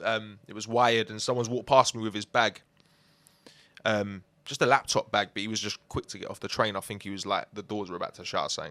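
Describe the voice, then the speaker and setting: In a London accent, a bright, sharp voice races along at a very fast pace with monotone, flat intonation. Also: man. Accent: London multicultural English. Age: 20s. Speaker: musician. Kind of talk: casual interview.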